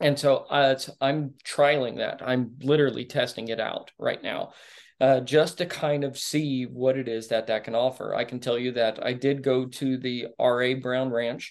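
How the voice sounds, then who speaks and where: A medium-pitched man with a Texan accent, monotone and flat, at a moderate pace with hardly any pauses, over a quiet background. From Texas (Dallas suburbs). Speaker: rancher and Marine veteran. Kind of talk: casual interview chat. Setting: video call.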